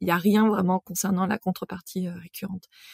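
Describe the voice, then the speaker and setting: A woman's medium-pitched voice at a moderate pace with fairly even intonation, in a dry, close sound with no echo. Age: 40s. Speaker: podcast host and marketing professional. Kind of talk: casual solo monologue. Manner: hesitant, many filler sounds.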